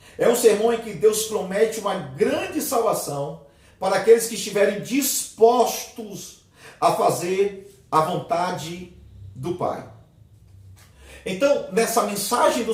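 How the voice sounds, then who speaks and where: Very slowly and in a high pitch, a man speaks with ordinary pitch variation and big swings in loudness, amid noticeable background noise and audible room echo. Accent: Brazilian. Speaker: theology teacher. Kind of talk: lecture.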